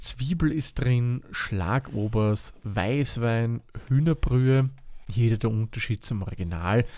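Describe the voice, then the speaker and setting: A man with an Austrian accent, a dark, mellow tone and a very slow pace, on a very clean recording with a silent background. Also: medium pitch for a man, ordinary pitch variation. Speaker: cooking podcast host. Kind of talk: casual chat and recipe explanation.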